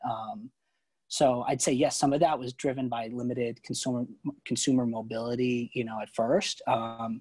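A man in a plain, everyday voice, medium in pitch, at a moderate pace with fairly even intonation, in a dry, close sound with no echo. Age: 20s. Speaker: investment research analyst. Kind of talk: podcast interview. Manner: many filler words.

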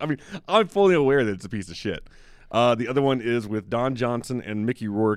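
With a plain, everyday voice, a man talks fairly quickly at a medium pitch, using lively intonation and an American accent. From US South, Memphis. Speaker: film critic. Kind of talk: casual chat.

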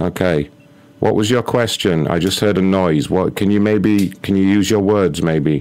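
A man with a British accent speaks at a moderate pace in a very deep, low voice, his pitch varying in an ordinary way and his loudness staying very even over noticeable background noise. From England. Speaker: prank call show host. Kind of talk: prank phone calls; casual show chat.

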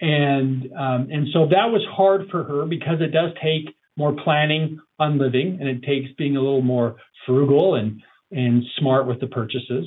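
In an ordinary speaking voice, a man talks at a moderate pace and a fairly high pitch with ordinary pitch variation. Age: 40s. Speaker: financial advisor. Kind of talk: interview.

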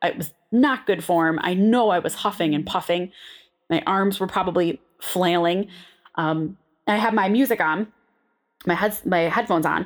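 A woman at medium pitch with an American accent, moderate pace, ordinary pitch variation and long, frequent pauses, on a very clean recording with a silent background. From Western New York (Buffalo). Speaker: podcast host and nutrition coach. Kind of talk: casual storytelling monologue. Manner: animated.

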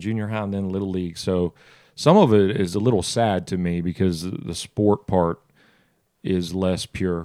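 Heard on a very clean recording with a silent background, the speaker uses a Southern US accent with ordinary pitch variation at a moderate pace. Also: man. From US South, South Georgia. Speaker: restaurant founder, former football quarterback. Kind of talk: casual interview.

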